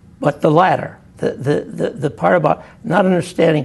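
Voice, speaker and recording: This is a man speaking with an American accent. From western Massachusetts. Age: 70s. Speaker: former state labor commissioner. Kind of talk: oral history interview. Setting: recorded interview at a university institute. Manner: halting, many repetitions.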